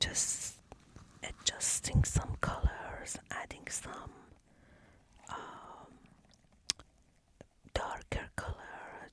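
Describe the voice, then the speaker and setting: Whispering over noticeable background noise, the speaker leaves long, frequent pauses. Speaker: watercolor painter and ASMR creator. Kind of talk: casual talk to camera, teaching tips. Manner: casual, explanatory, with hesitations.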